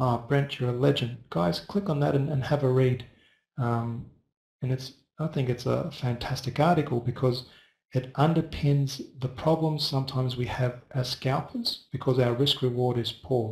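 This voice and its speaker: A man talks at medium pitch in a somewhat breathy voice. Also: ordinary pitch variation, moderate pace. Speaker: forex trading educator. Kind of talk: live webinar tutorial. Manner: soft-spoken; casual with fillers.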